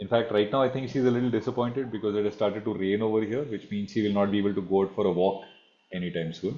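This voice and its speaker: Speaking very fast with an Indian accent, a man uses a fairly low pitch and ordinary pitch variation. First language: Marathi. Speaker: online class mentor, economics teacher. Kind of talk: online masterclass Q&A. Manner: formal.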